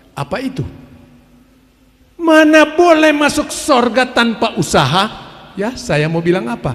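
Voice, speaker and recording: A man with an extremely high pitch speaks with lively intonation. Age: 70s. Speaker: preacher. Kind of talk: sermon. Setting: family worship gathering.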